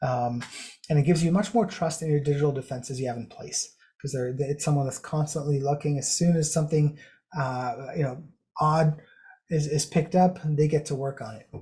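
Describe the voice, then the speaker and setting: A man's fairly high voice, dark and mellow in tone and somewhat breathy, at a fairly quick pace with ordinary pitch variation. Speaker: cybersecurity consultant presenting a webinar. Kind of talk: webinar presentation. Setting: online webinar. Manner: fast.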